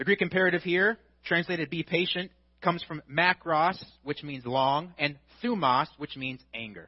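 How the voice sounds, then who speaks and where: A man's high-pitched voice with an American accent, moderate pace, ordinary pitch variation and big swings in loudness. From US Midwest. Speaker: pastor. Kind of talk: sermon.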